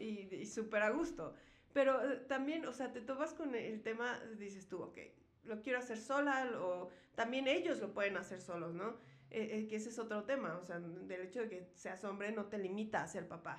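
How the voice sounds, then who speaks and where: Noticeable background noise and audible room echo surround this recording. A woman speaks at a fairly high pitch with lively intonation. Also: moderate pace. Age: 30s. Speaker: podcast host. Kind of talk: casual chat.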